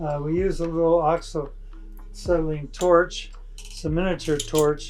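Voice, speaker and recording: With an American accent, a man speaks at a fairly slow pace amid audible room echo. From Ohio, Akron. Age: 80s+. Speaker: metal artist. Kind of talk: demonstration. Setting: workshop.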